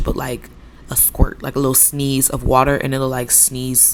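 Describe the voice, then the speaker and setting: Over noticeable background noise, a woman speaks at a moderate pace. Her pitch is very deep and low. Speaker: cooking video creator. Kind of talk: cooking tutorial. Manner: casual, chatty; stumbling, filler-heavy.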